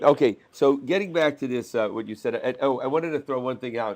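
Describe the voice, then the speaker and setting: Here a man speaks in a New Jersey accent. He goes at a fairly quick pace with ordinary pitch variation. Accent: Jersey City. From New Jersey, Jersey City area. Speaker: coffee show host, interviewer. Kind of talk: interview. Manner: halting, many repetitions and fillers.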